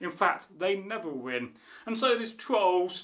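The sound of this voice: An unforced reading voice carries the text. The intonation sounds lively.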